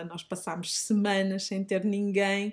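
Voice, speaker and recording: In a very clean recording with a silent background, a woman speaks with a Minho accent at a medium pitch. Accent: Minho (northern Portuguese). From northern Portugal, Minho (Braga district). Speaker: teacher and organic grocery shop owner. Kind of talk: interview. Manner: hesitant, with fillers and repetitions.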